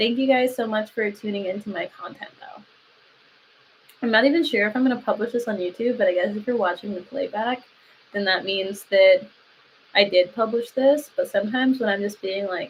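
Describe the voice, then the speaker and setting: With a Southern Californian accent, a woman talks at a fairly quick pace in a fairly high, somewhat breathy voice. Her pitch varies in an ordinary way while her loudness swings widely. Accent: Valley Girl. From Lancaster, California (US West Coast). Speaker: jiu-jitsu athlete and content creator. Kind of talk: casual livestream chat. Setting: live stream.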